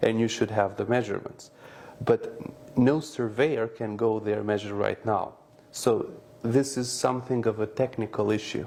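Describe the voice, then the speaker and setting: The speaker is a man with an Albanian accent. He keeps a moderate pace. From North Macedonia, Albanian community. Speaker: businessman. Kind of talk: interview. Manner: hesitant, with filler sounds.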